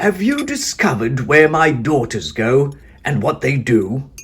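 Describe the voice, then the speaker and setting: A man does a put-on character voice at a fairly high pitch. He keeps a moderate pace. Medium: read story. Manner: commanding.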